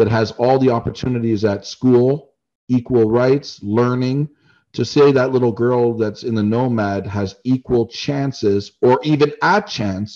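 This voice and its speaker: A man with a Canadian accent, a dark, mellow tone, medium pitch and ordinary pitch variation, at a fairly slow pace against a quiet background. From Canada. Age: 40s. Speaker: travel YouTuber and business owner. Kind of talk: casual interview chat.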